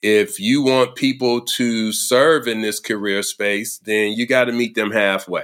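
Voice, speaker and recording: A man with a plain, everyday voice talks at a fairly slow pace with hardly any pauses, in a medium pitch with fairly even intonation. The recording is very clean, with a silent background. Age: 50s. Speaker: senior care leadership consultant. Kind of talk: interview.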